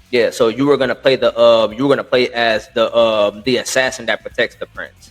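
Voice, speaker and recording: Music can be heard behind the speech. The man talks at a fairly quick pace. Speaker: gaming podcast host. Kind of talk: casual chat. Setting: at home. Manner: fast; halting.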